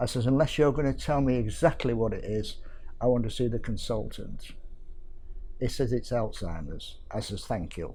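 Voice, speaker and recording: Over audible room echo, a man with a dark, mellow tone speaks at a moderate pace with ordinary pitch variation. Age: 70s. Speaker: carer. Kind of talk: testimony.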